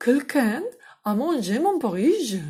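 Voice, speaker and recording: A woman uses a put-on character voice with a high pitch. She speaks at a fairly slow pace with very wide pitch swings. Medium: read story.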